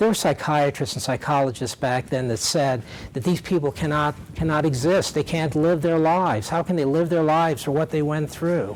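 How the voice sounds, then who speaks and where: A man with a fairly high voice talks at a moderate pace over noticeable background noise. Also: ordinary pitch variation, very even loudness. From US South, Louisville, Kentucky. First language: Yiddish. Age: 70s. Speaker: Holocaust survivors' son, guest speaker. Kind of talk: testimony. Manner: halting, many fillers and repeats.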